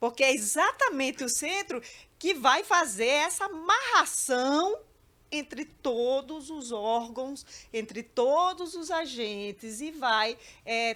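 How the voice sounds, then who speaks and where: Using a raised, projected voice, a woman speaks very slowly at a high pitch, her tone bright and sharp and her intonation lively. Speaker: judge. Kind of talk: panel discussion. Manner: halting.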